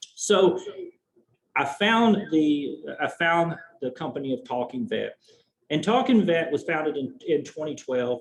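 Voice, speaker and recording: Here a man speaks with a Southern US accent and a fairly high pitch. His intonation is lively, and he takes long, frequent pauses. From US South. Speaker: veterinary oncologist. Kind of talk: presentation.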